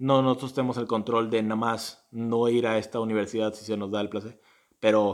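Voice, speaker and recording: A very clean recording with a silent background captures a man talking in a monotone, flat intonation. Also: medium pitch for a man, fairly quick pace. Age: 20s. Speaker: podcast co-host, university student. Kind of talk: casual chat.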